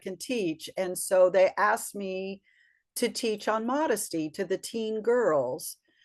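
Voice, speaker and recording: A woman with an unremarkable speaking voice at a fairly slow pace, ordinary pitch variation, and a quiet background. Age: 60s. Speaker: color and style consultant. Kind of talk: casual interview.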